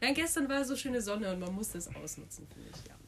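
A woman talking at a very fast pace with lively intonation. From Munich, Bavaria. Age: 20s. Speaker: university student, podcast co-host. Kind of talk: casual chat.

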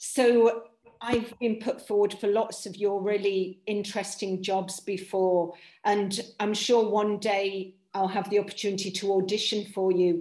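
A woman's medium-pitched voice, monotone and flat, at a fairly slow pace. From East Midlands, England. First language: Polish. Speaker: actor. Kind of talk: audience question. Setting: video call.

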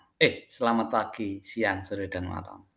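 The fairly slow speech has ordinary pitch variation on a very clean recording with a silent background. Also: man. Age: 40s. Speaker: podcaster. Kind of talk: monologue. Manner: halting.

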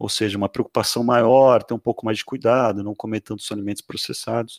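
An ordinary speaking voice: a man with fairly low pitch and fairly even intonation, heard in a dry, close sound with no echo on a very clean recording with a silent background. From Brazil, Santos. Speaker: podcast host. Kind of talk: interview.

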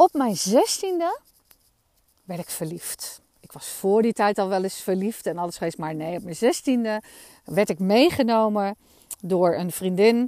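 A woman speaks at a fairly slow pace, her pitch medium and her intonation lively. The sound is dry and close with no echo, and the recording is very clean over a silent background. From Netherlands, Amsterdam. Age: 40s. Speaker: podcast host. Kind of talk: personal storytelling monologue. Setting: outdoors in a meadow. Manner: animated.

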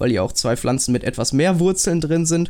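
This is a man with a plain, everyday voice. He speaks at a moderate pace with ordinary pitch variation. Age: young. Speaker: podcast host, media design apprentice. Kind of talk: casual chat. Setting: video call.

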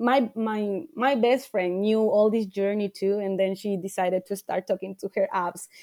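A woman speaks in a Spanish accent at a moderate pace, her medium-pitched, dark and mellow voice showing ordinary pitch variation with hardly any pauses, recorded dry and close with no echo. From Ecuador. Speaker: life coach. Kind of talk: interview.

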